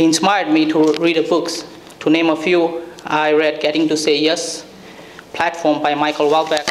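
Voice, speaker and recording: Noticeable background noise behind a man's fairly high voice, flat and monotone. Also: moderate pace, very even loudness. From India. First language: Indian native language. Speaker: graduating student. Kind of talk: graduation speech. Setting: event with audience.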